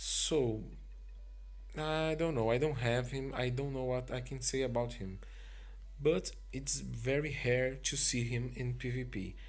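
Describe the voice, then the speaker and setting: A man with a non-native accent speaks fairly slowly, leaving long, frequent pauses, amid audible room echo. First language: not English. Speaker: mobile game video creator. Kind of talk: game review commentary. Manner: halting.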